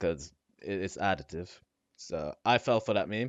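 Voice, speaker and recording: A man with a non-native accent, a very deep, low pitch and ordinary pitch variation. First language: not English. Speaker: gaming content creator. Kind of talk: casual commentary on a game tier list.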